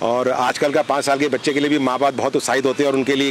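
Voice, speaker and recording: A man's medium-pitched voice is heard over music in the background. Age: 50s. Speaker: retired businessman and road traveller. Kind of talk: press interview.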